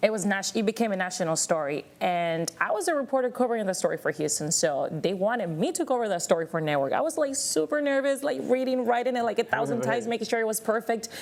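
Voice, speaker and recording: A woman at a fairly high pitch, very fast pace and very wide pitch swings, over noticeable background noise. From Miami, Florida (Cuban-American). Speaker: TV news reporter. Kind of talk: panel discussion.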